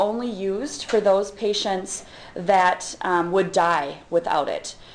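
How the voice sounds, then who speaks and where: The voice has ordinary pitch variation. There is audible room echo around it. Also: woman. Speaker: physician and professor. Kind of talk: lecture.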